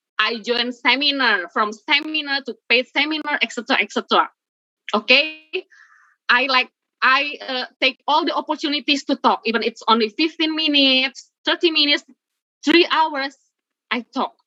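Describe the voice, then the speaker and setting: In an Indonesian accent, a woman uses a raised, projected voice that is high-pitched with a bright, sharp tone, ordinary pitch variation and a moderate pace, in a dry, close sound with no echo. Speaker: webinar speaker, blogger and content creator. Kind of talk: webinar presentation. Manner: halting.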